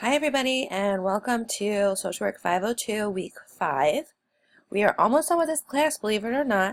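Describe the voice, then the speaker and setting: At a moderate pace, a woman speaks in a fairly high pitch with very wide pitch swings. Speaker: social work instructor. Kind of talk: recorded online lecture. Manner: casual, with frequent fillers.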